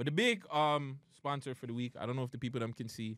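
Dry, echo-free sound of a man talking. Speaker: podcast host. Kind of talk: casual podcast chat. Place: studio. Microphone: studio mic.

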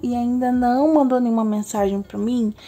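This woman has a high pitch and a dark, mellow tone. Her intonation stays fairly even. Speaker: tarot reader. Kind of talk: tarot reading video intro. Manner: slow.

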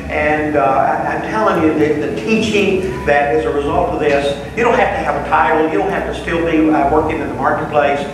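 There is strong room echo and noticeable background noise. A man talks at a moderate pace. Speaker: class teacher. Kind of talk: announcement to a class. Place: hall.

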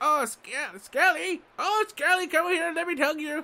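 Spoken at a moderate pace, this put-on character voice sits at an extremely high pitch. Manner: warm, affectionate.

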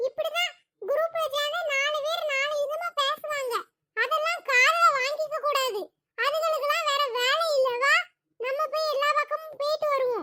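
A woman uses a cartoonish character voice pitched extremely high. She speaks at a fairly slow pace. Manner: cocky, casual.

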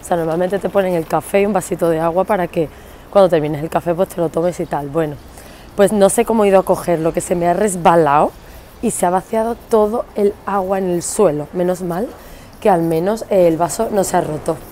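A woman with a fairly low voice speaks at a fairly quick pace with fairly even intonation, the sound dry with no echo and light background noise behind her. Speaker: vlogger. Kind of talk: casual vlog chat. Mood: cheerful, laughing. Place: street. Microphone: earbuds.

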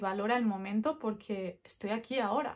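Over a quiet background, a woman of fairly high pitch speaks with ordinary pitch variation. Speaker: product vlogger. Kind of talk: casual vlog chat. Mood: relaxed, friendly, reflective. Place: home room.

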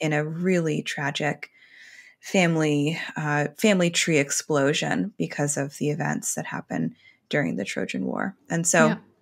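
With an American accent, a woman speaks at a moderate pace. Everything behind her is quiet. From New York. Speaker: podcast co-host, astrologer; podcast co-host. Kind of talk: casual chat. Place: home room. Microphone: earbuds.

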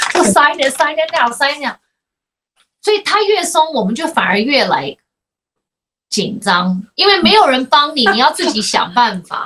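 A woman with a high pitch talks in a raised, projected voice with very wide pitch swings. Her pace is moderate, broken by long, frequent pauses. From United States. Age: 40s. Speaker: podcast host. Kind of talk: casual chat. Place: home room.

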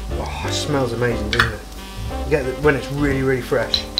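A man at a moderate pace with clear music in the background. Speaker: cooking show host. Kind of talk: tutorial. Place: kitchen.

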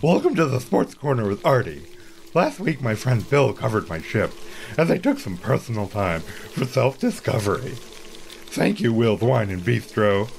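A man talks at a medium pitch and a moderate pace, his voice making very wide pitch swings. Background noise is clear. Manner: mild and naive, then obsessively repetitive.

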